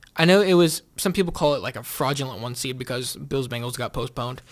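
On a very clean recording with a silent background, a man with an American accent speaks at a fairly quick pace with lively intonation. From Kansas City, US Midwest. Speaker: sports podcast host and student radio announcer. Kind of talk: casual sports talk monologue.

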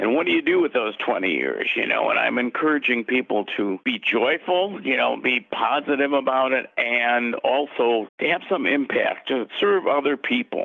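In an American accent, the voice keeps a very even loudness with hardly any pauses, set against noticeable background noise. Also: man, moderate pace. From US Midwest, Chicago. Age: 70s. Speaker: author. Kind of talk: interview.

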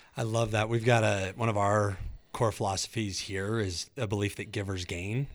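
A man talks at a moderate pace with a fairly low pitch. The recording is very clean, with a silent background. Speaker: podcast interviewer. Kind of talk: casual interview conversation. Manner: warm, enthusiastic.

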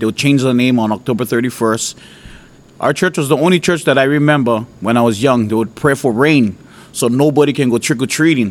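The speaker talks at a fairly quick pace with ordinary pitch variation in a Hawaiian accent. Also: man. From Hawaii, Oahu. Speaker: preacher. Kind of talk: testimony.

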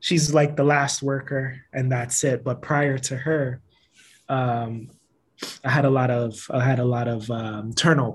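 The man sounds somewhat breathy, with fairly even intonation. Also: medium pitch for a man, fairly slow pace. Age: 30s. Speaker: social worker and podcaster. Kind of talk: casual chat.

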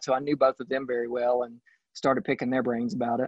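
A man speaks very fast in a Southern US accent. His medium-pitched voice stays monotone, with flat intonation. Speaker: real estate agent. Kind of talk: casual interview. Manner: halting, many fillers.

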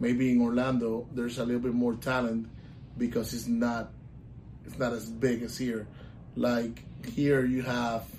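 A man with a Puerto Rican accent speaks at a medium pitch and moderate pace in a monotone, flat intonation, with audible room echo. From Puerto Rico. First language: Spanish. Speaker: volleyball coach. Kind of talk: casual interview.

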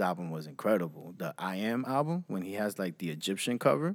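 A man with a New York accent, fairly quick pace, and lively intonation. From Queens and Long Island, New York. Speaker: podcast co-host. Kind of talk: casual chat.

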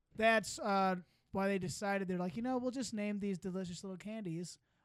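The voice belongs to a man with a high pitch. He speaks in a Midwestern US accent. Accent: general Midwestern US. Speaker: podcast host. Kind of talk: casual comedy banter. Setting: studio, video recorded.

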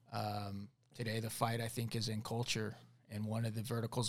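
Somewhat breathy, a man speaks at a medium pitch and a moderate pace. His intonation is monotone and flat. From Arizona, Tucson. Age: 40s. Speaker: former navy commando, congressional candidate. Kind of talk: casual interview chat.

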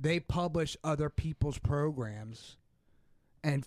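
Over a silent background in a very clean recording, a man with a fairly high pitch talks with lively intonation. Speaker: podcast co-host. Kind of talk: casual chat.

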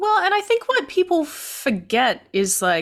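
A woman talks with an Australian accent. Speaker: podcast co-host. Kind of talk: casual chat.

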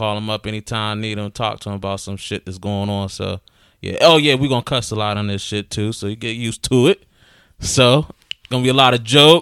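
With an American accent, the speaker goes at a fairly quick pace with ordinary pitch variation, in a dry, close sound with no echo. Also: man, fairly low pitch for a man. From western Pennsylvania, Aliquippa. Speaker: podcast co-host. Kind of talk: casual chat. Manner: animated.

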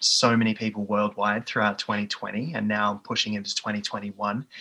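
A man speaks in an Australian accent at a moderate pace. His fairly low voice has a bright, sharp tone and monotone, flat intonation. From Australia, east of Melbourne. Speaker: physiotherapist and division manager. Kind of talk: interview. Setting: video call.

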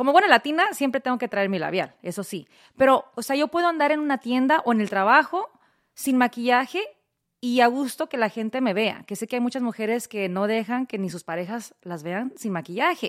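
A woman's high-pitched voice at a fairly quick pace with lively intonation, dry and close with no echo, on a very clean recording with a silent background. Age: 40s. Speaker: podcast host and radio personality. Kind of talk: casual chat.

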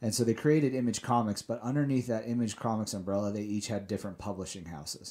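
A man with an American accent talks very fast with hardly any pauses in a dark, mellow tone and ordinary pitch variation, on a very clean recording with a silent background. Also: fairly low pitch for a man. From Salt Lake City, Utah. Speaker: comic book creator and comics shop guest. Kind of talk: casual interview chat. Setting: studio.

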